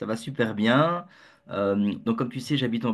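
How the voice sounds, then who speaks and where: A man with a Belgian accent talks at a moderate pace and a medium pitch, with ordinary pitch variation. The background is quiet. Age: 50s. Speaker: entrepreneur, community founder. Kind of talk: interview. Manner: halting, many fillers and repetitions; joyful, jokey.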